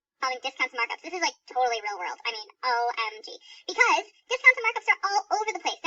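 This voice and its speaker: In a put-on character voice, a woman squeaks at an extremely high pitch, talking very fast. Her pitch swings very widely and her loudness rises and falls in big swings. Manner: peppy, exaggerated, teaching.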